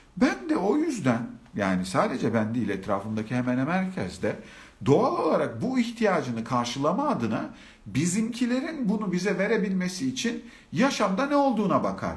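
A man speaks at a moderate pace with a high pitch and very wide pitch swings. Noticeable background noise and audible room echo are present. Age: 40s. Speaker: live-stream speaker on self-love. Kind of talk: live-stream talk. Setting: live stream with comments.

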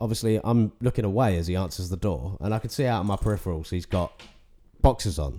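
A man speaks very fast in a very deep, low voice with a dark, mellow tone. His intonation is lively, and vocal fry runs through it. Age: 30s. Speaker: podcast guest. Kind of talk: casual chat.

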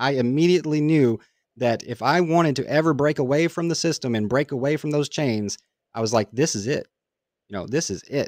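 An unremarkable speaking voice: a man with an American accent, medium pitch and ordinary pitch variation at a fairly quick pace, dry, close sound with no echo, on a very clean recording with a silent background. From Kentucky, US. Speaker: crypto YouTuber. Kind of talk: casual interview. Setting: live stream.

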